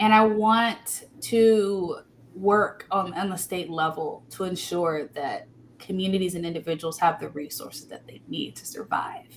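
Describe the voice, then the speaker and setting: At a fairly slow pace, a normal speaking voice comes through with ordinary pitch variation and big swings in loudness. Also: woman, medium pitch for a woman. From Texas, Austin area. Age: 20s. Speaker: political candidate. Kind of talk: interview. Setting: live podcast stream.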